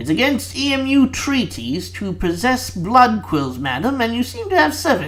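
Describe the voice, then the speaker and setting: A man talks in a put-on character voice at a moderate pace. Clear music plays in the background. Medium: read story.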